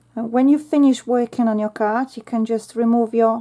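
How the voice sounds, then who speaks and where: A woman speaks with a Polish accent at a fairly high pitch. Her tone is dark and mellow, and her intonation monotone and flat. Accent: Polish accent, non-native English. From Poland. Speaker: craft YouTuber. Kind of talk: tutorial. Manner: chatty, thinking aloud.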